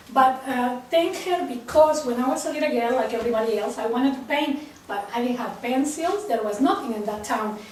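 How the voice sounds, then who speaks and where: A woman with a Mexican accent talks at a fairly quick pace in a high pitch, with lively intonation and hardly any pauses. Audible room echo and noticeable background noise surround her. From Mexico. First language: Spanish. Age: 60s. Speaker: printmaking artist. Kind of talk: personal talk to a group.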